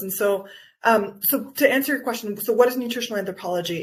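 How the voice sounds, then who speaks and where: A woman speaks with an American accent at a fairly high pitch. Her voice sounds somewhat breathy. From Guatemala, raised by US parents. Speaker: nutritional anthropologist and wellness coach. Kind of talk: interview.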